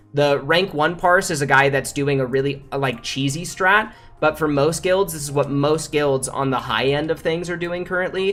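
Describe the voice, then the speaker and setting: A fairly high-pitched man at a moderate pace with hardly any pauses and ordinary pitch variation, music in the background. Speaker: game streamer. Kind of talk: livestream Q&A. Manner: stutters; casual, many fillers.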